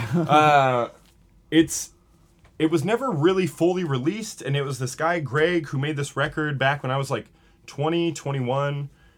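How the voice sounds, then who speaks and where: A man talks at a moderate pace in an American accent, his pitch fairly high with ordinary variation. He has a plain, everyday voice. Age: 30s. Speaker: rock musician. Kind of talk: casual interview chat.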